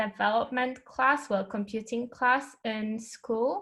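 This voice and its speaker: At a fairly high pitch, a woman with a Polish accent speaks with fairly even intonation on a very clean recording with a silent background. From Poland, Poznań. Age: 20s. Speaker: UX researcher and designer. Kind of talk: casual interview chat.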